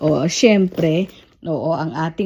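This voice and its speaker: This is a woman's voice. She speaks at a very slow pace. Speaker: vlogger. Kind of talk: casual vlog haul.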